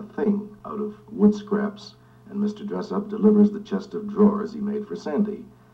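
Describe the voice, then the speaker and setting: A man's high-pitched voice comes through with noticeable background noise. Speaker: TV announcer. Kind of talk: TV promo read.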